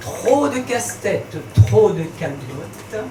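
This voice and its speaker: Through noticeable background noise, a woman at a medium pitch talks at a very slow pace with very wide pitch swings. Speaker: slam poet. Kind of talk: slam poetry performance. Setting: live bar venue.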